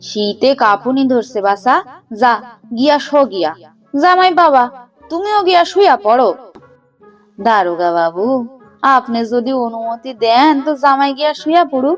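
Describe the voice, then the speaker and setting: Putting on a shrill character voice, a woman speaks high and fairly slowly with very wide pitch swings while faint music plays behind her. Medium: read story. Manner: loud, quick, cunning.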